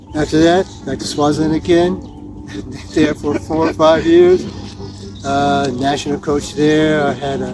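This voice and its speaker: Someone speaks at a fairly slow pace with ordinary pitch variation and long, frequent pauses, over music in the background. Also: man, fairly high pitch for a man. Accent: American. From US Northeast (New Jersey). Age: 70s. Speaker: tennis coach. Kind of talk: interview.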